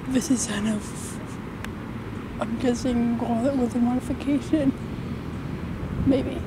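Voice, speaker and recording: The speech moves at a very slow pace. The sound is dry with no echo, yet loud background noise fills the recording. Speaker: storm filmer. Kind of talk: casual commentary while filming. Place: open country. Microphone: phone near.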